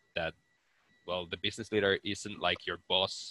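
Dry and close with no echo, a man's bright, sharp voice comes out monotone and flat with a Finnish accent. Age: 20s. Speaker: business student and entrepreneur. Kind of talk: interview.

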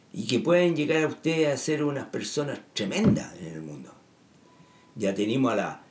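There is noticeable background noise and audible room echo. A man speaks at a moderate pace with very wide pitch swings. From Chile. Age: 70s. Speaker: political commentator. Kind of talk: monologue. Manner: halting.

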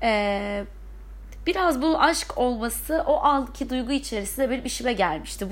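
A woman's pitch swings very widely as she talks at a moderate pace, her voice showing vocal fry. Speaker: podcaster. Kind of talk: personal monologue. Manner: hesitant, many fillers.

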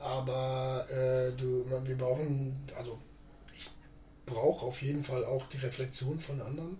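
Long, frequent pauses break up a man's fairly slow speech at medium pitch. His intonation is monotone and flat, with noticeable background noise and audible room echo. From Lower Saxony, Germany. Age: 40s. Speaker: podcast guest, bar owner. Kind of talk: casual interview conversation.

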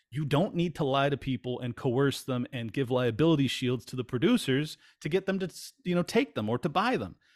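A man with an American accent and an unremarkable speaking voice, fairly high in pitch, fairly quick in pace, with ordinary pitch variation. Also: very clean recording, silent background. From California. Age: 40s. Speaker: podcast host. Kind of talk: casual chat.

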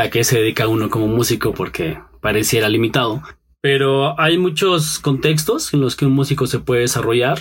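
A man talks in a plain, everyday voice at medium pitch and a fairly quick pace. His loudness stays very even, and his pitch varies in an ordinary way. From Mexico, Pachuca and State of Mexico. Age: 30s. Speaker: musician, guitarist. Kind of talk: interview.

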